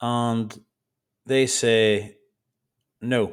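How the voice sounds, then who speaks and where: A man with an Irish accent and monotone, flat intonation, in a very clean recording with a silent background. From Ireland. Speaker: trading educator. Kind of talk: tutorial. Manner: deliberately slow; passionate.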